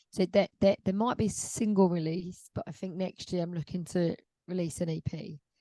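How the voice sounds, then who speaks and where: Dry and close with no echo, a woman's dark, mellow voice sits at a medium pitch with fairly even intonation and a moderate pace. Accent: London. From London. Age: 30s. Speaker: singer-songwriter. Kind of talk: interview. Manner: casual, hesitant with fillers.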